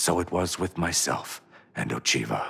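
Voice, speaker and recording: A man puts on a character voice, speaking at a moderate pace in a calm tone with a very deep, low pitch. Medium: video game. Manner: calm, reverent.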